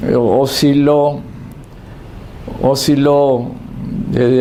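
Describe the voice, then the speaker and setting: A man talks at a very slow pace. The room echo is audible, and there is noticeable background noise. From Argentina. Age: 70s. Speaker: political commentator. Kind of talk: monologue commentary. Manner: halting, many fillers and repetitions.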